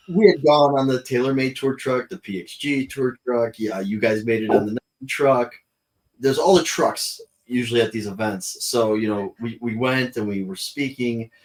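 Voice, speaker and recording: In an ordinary speaking voice, a man talks at a moderate pace and medium pitch, with ordinary pitch variation and big swings in loudness. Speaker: golf and sneaker podcast co-host. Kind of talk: casual chat.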